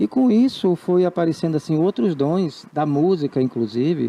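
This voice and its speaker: Pitched fairly high, a man talks with lively intonation. It is an ordinary speaking voice. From Brazil, Salvador, Bahia. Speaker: writer and actor. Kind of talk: TV interview. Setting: TV studio.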